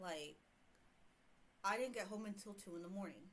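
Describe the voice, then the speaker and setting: In an American accent, a woman talks at a medium pitch with ordinary pitch variation. Room echo is audible. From US South, Houston. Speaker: streamer reading online horror stories. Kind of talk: casual livestream storytelling. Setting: livestream. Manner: hesitant, many fillers.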